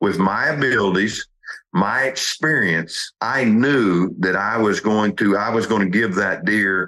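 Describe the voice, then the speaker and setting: Here is a man with a plain, everyday voice. His pitch is fairly low, with ordinary pitch variation. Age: 50s. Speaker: hunting show host. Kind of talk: casual interview chat. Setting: hunting camp on a ranch.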